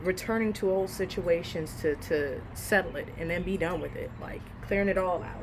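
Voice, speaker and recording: This woman has a normal speaking voice. Her pitch is medium, with ordinary pitch variation. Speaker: tarot reader. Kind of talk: tarot reading. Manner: casual, filler-heavy.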